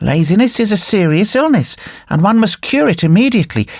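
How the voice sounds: Intonation here is lively. The speaker uses a natural reading voice.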